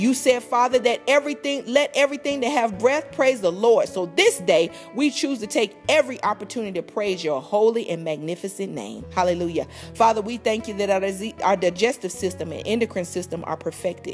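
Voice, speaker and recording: The speaker moves at a fairly quick pace with music in the background. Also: woman, fairly high pitch for a woman. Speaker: prayer minister. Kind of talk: spoken prayer.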